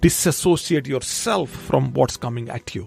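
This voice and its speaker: A man with a non-native accent and lively intonation, dry and close with no echo, music in the background. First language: not English. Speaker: podcast host. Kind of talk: motivational podcast monologue. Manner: repetitive, self-correcting.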